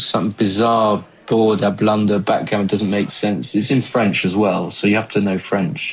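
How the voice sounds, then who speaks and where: A man with an English accent talks at a fairly slow pace and a fairly low pitch. Noticeable background noise runs behind him. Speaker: backgammon commentator. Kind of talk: live commentary. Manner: mumbling; casual, halting.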